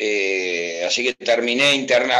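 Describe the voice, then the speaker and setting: With lively intonation, a man is talking. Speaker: football fan. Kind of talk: casual chat. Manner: animated.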